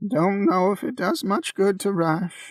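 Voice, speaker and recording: Using a put-on character voice that is high for a man, he talks at a fairly slow pace. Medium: read story. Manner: matter-of-fact.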